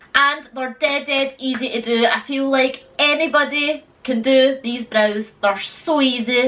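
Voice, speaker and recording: A woman's raised, projected, high-pitched voice amid noticeable background noise. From Scotland. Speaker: beauty vlogger. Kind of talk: tutorial. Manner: casual, chatty.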